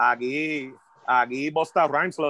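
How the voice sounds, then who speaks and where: In a Puerto Rican accent, a man speaks with a bright, sharp tone. His intonation is fairly even. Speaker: hip hop MC. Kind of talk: casual chat.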